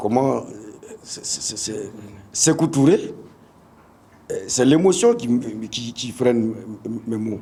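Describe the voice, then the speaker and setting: A man's dark, mellow, somewhat breathy voice at medium pitch, very slow with long, frequent pauses, lively intonation and big swings in loudness, in a room with audible echo. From Burkina Faso, Bobo-Dioulasso. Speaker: football coach. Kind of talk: press conference speech. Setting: press conference. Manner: halting, many hesitations and repetitions.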